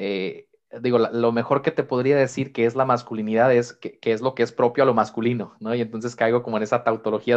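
The speaker is a man with a medium pitch. He talks at a fairly quick pace against a quiet background. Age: 20s. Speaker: psychologist. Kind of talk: interview.

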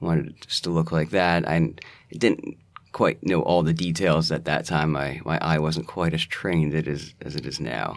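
Vocal fry colors a man's very deep, low voice as he speaks at a moderate pace with fairly even intonation. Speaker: James Bond style blogger and podcaster. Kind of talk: casual interview chat. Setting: studio, in person. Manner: hesitant, filler-heavy.

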